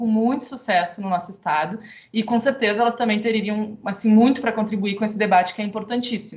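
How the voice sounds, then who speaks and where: Against noticeable background noise, a woman talks at a fairly quick pace with fairly high pitch. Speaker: architect and council member moderating panel. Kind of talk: event moderation. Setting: online event, video call. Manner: fast.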